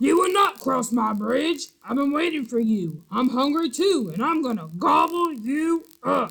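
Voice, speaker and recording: A man's put-on character voice, extremely high-pitched and growling, at a moderate pace with hardly any pauses. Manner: angry, growling.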